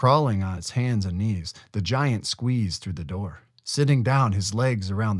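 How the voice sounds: The delivery is a natural reading voice, its pitch varying in an ordinary way.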